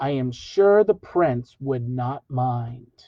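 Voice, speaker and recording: A man's put-on character voice at medium pitch, very slow in pace, with lively intonation. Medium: read story. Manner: courteous.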